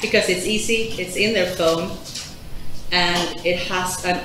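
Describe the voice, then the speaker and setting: A woman speaks at a fairly slow pace. Light background noise and audible room echo are present. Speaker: conference presenter. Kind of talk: presentation talk. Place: hall.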